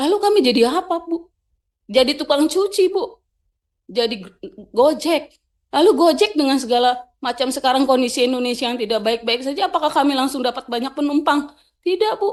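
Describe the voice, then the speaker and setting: A loud, high-pitched woman at a fairly quick pace, with lively intonation. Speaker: labor union representative. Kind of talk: testimony at parliamentary hearing. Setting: parliamentary committee hearing. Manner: emotional, halting.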